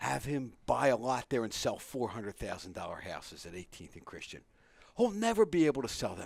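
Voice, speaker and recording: A strong Philadelphia accent at a fairly quick pace, with very wide pitch swings and big swings in loudness. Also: man, medium pitch for a man. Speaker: radio host. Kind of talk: casual chat. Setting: radio studio.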